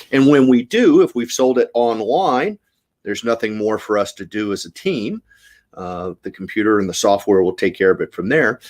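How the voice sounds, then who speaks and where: A man's plain, everyday voice at a medium pitch with lively intonation and a moderate pace, dry and close with no echo, in a very clean recording with a silent background. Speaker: auctioneer. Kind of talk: casual talk to camera, explaining fundraising auctions.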